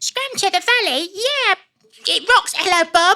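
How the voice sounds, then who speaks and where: A squeaky, extremely high-pitched put-on character voice at a moderate pace. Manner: upbeat, cheerful.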